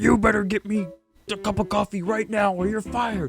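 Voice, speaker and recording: Putting on a character voice, a man speaks at a high pitch and a fairly quick pace while faint music plays in the background. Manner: angry, barking, loud.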